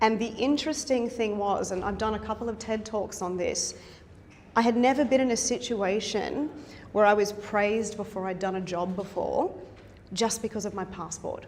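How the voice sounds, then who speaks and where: A woman with an Australian accent speaks at a fairly high pitch and a moderate pace, with ordinary pitch variation and audible room echo. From South Africa. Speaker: university instructor and researcher. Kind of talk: conference presentation. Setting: conference session with audience.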